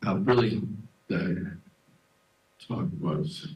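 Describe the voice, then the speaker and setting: A soft-spoken man talks very slowly, somewhat breathy, at a fairly low pitch. His pitch swings very widely, and room echo is audible. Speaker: devotee giving memorial talk. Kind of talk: memorial tribute talk.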